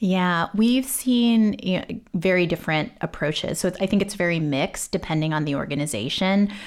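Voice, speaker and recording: On a very clean recording with a silent background, a woman with an American accent and an unremarkable speaking voice talks fairly quickly at medium pitch with lively intonation. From Texas. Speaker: genomics software executive. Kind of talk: interview.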